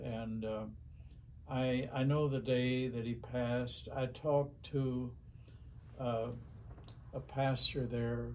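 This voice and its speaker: Delivered at a very slow pace in a monotone, flat intonation, the speech has long, frequent pauses over light background noise. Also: man. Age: 80s+. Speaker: minister. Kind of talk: interview answer. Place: office.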